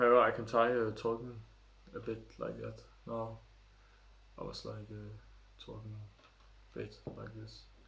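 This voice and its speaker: A man talks at a fairly slow pace with long, frequent pauses and big swings in loudness, his voice carrying audible room echo. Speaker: tech reviewer. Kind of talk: product review vlog. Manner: speaks quietly at times to demonstrate.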